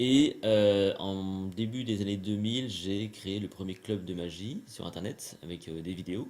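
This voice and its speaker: The speech moves at a very slow pace with ordinary pitch variation and hardly any pauses. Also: man, fairly low pitch for a man. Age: 40s. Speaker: magician and trainer. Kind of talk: interview. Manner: hesitant, many fillers.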